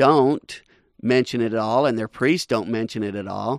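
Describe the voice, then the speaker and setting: Against a quiet background, a man talks at a moderate pace in a normal speaking voice. The sound is dry and close, with no echo. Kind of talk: radio host patter. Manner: brisk, upbeat, promotional sign-off rhythm, repeating web address.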